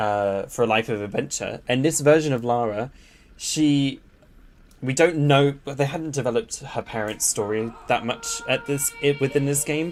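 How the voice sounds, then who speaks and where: A man with a southern English accent and a fairly high pitch, with music in the background. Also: moderate pace. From southern England, near Ascot. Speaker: gaming streamer. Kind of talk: live gameplay commentary. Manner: animated.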